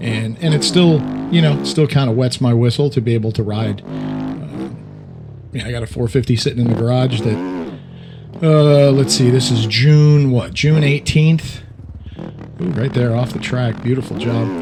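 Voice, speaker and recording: A man speaks at medium pitch with lively intonation and a moderate pace. Music plays in the background. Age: 60s. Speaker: gaming YouTuber. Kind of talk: gameplay commentary. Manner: casual, hesitant with fillers.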